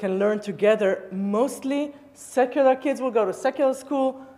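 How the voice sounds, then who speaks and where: With an Israeli accent, the speaker talks at a fairly slow pace in a dark, mellow tone. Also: woman. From Israel, Tel Aviv area. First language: Hebrew. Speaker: rabbi. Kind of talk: public talk. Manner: halting.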